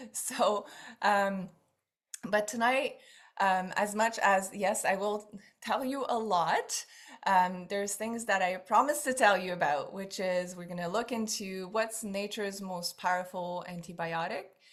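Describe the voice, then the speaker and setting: A woman with a French Canadian accent, at a fairly slow pace, with ordinary pitch variation. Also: medium pitch for a woman. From Quebec. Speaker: essential oils seller. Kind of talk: online class. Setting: video call. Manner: animated.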